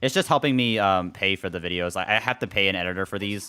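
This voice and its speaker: This man's tone is bright and sharp, his pitch fairly low. He moves at a fairly quick pace with ordinary pitch variation. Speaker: video game streamer. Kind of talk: casual live stream chat. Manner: halting, repeats himself; casual.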